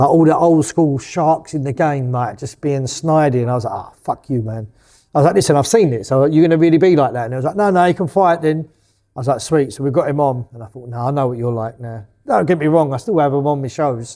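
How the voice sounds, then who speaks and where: A man with a fairly high pitch speaks very fast in a dark, mellow tone, his pitch varying in an ordinary way, on a very clean recording with a silent background. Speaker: boxing promoter. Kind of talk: interview. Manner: mumbling; casual, expletive-heavy.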